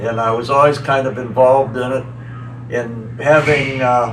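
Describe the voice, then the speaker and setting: Music plays behind a man, and the room echo is audible. He speaks at a moderate pace and medium pitch with fairly even intonation. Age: 70s. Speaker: tractor pulling champion. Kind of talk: interview. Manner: halting.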